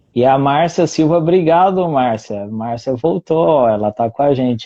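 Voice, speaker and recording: Speaking fairly slowly, a man with an ordinary speaking voice lets his pitch vary in a usual way. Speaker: teacher hosting a live conversation. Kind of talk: casual chat.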